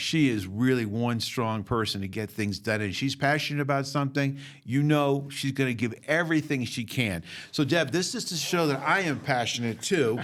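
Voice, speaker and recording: In a Boston accent, a man speaks at a moderate pace with a medium pitch and ordinary pitch variation, on a very clean recording with a silent background. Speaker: museum president and podcast host. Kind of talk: casual podcast interview.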